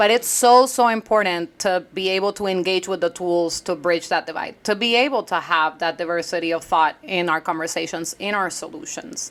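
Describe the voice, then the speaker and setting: A woman with a Puerto Rican accent speaks at a moderate pace and medium pitch, with ordinary pitch variation. She leaves hardly any pauses, and noticeable background noise is present. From Puerto Rico. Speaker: entrepreneur, former congressional staffer. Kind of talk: interview conversation. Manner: loud.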